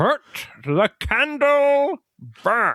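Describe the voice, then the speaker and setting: A put-on character voice speaks with a high pitch. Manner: strained.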